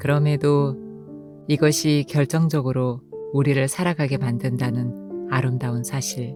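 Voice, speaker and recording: A woman's very deep, low voice, calm in tone, with ordinary pitch variation at a fairly slow pace, music playing in the background. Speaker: audiobook narrator. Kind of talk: essay reading. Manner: calm, emotional.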